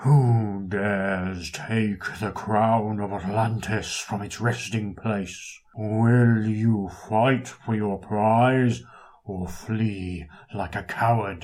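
Using a put-on character voice, a man speaks at a very slow pace with a fairly low pitch. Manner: booming, imposing.

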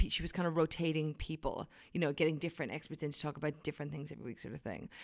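In a very clean recording with a silent background, a woman with an Irish accent speaks at a very deep, low pitch. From Ireland, County Wicklow. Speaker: wine writer. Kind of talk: casual interview. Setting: conference venue room. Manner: animated.

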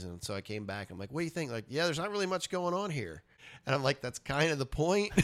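A man with an American accent, lively intonation and a very fast pace, on a very clean recording with a silent background. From US South, Richmond, Virginia. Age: 40s. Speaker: punk musician and comic artist. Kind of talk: casual interview.

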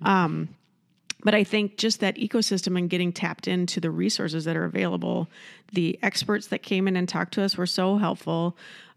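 On a very clean recording with a silent background, a woman with an ordinary speaking voice talks fairly quickly at a medium pitch with fairly even intonation. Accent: American. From Iowa. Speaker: entrepreneur and nonprofit founder. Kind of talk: casual interview.

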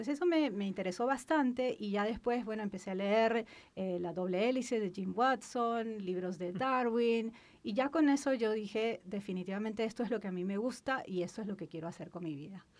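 A woman's plain, everyday voice at a fairly quick pace, fairly high in pitch with ordinary pitch variation. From Peru, Lima. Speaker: cancer researcher. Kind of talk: interview.

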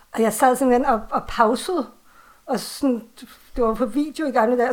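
High-pitched female speech, moderately paced and fairly even in intonation. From Copenhagen, Denmark. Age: 40s. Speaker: author and horror fan. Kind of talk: casual conversation. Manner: hesitant, many fillers.

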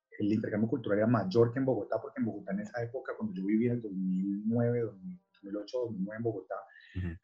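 Here a man talks at a fairly quick pace, medium in pitch and somewhat breathy. His pitch varies in an ordinary way. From Colombia, Cali. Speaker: artist. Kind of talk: interview. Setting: video call.

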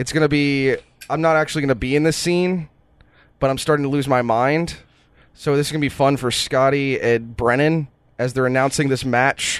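Against a quiet background, a man talks fairly quickly in an ordinary speaking voice, fairly high in pitch. His intonation is fairly even and his loudness very even. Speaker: podcast co-host and game runner. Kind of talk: casual comedic chat.

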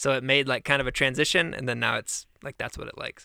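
Bright, sharp tone with an American accent on a very clean recording, silent background. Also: man, dry, close sound with no echo. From US Midwest (Michigan). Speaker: podcast co-host. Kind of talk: casual chat.

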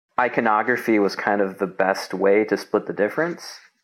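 This man has an ordinary speaking voice, fairly low in pitch, and talks at a moderate pace. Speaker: designer and illustrator. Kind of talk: casual interview chat. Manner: casual, filler-heavy.

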